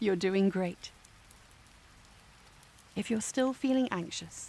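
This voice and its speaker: Speech unfolds very slowly. The intonation is fairly even. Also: woman. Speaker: voice actor. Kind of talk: guided meditation. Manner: slow, soft-spoken.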